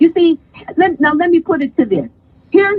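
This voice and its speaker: An American accent and an animated tone mark this woman's high-pitched voice. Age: 60s. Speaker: live stream guest. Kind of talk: casual chat.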